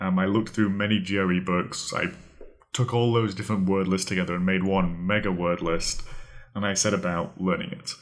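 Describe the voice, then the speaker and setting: In a British accent, a man speaks at a fairly low pitch with monotone, flat intonation. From Britain. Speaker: podcast host, vocabulary tutor. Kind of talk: podcast monologue, tutorial.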